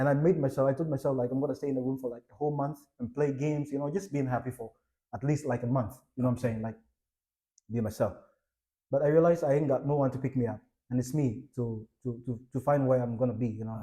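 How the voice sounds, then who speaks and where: At a very fast pace, a man talks in a dark, mellow, somewhat breathy voice of medium pitch, with fairly even intonation. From Ghana. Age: young. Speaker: entrepreneur and investor. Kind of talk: interview. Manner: halting, with many fillers.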